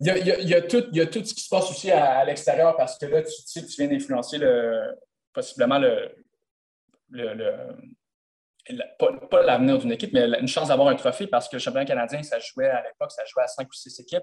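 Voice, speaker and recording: The speech runs at a fairly quick pace. Its loudness swings widely. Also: man. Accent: Quebec. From Quebec, Gatineau. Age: 20s. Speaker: professional footballer. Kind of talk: interview. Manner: halting.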